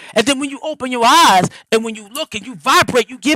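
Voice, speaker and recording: An animated man speaks at an extremely high pitch in a raised, projected voice with lively intonation. The sound is dry and close, with no echo. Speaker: livestream host and spiritual speaker. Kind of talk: motivational talk. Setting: live stream. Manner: fast.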